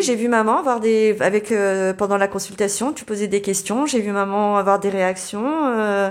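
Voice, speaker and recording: With a northern French accent and ordinary pitch variation, the speech runs at a fairly slow pace on a very clean recording with a silent background. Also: woman. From northern France, Dunkirk. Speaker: therapy client. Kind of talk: testimony. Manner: halting.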